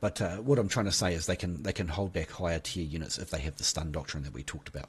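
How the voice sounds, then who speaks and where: A man speaks at a very fast pace, somewhat breathy. The background is quiet. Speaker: gaming YouTuber. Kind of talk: game tutorial. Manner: casual, hesitant with fillers.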